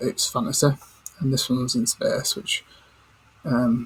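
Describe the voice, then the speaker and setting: Over noticeable background noise, a man speaks quietly. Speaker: gaming commentator. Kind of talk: casual gaming chat while playing. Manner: hushed, keeping quiet.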